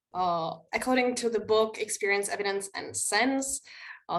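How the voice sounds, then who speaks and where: With a Czech accent, a woman speaks using ordinary pitch variation. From Czech Republic. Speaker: linguistics researcher. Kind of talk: conference presentation. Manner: halting, frequent filler 'uh'.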